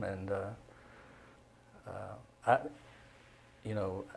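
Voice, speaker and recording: He speaks with a Southern US accent. The speaker is a man. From Middle Tennessee, Cookeville. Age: 80s+. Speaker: retired newspaper journalist. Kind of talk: casual interview chat. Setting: studio.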